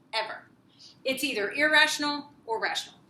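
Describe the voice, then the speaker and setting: Audible room echo surrounds a woman's voice. Her intonation is lively. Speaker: math teacher. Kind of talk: lecture.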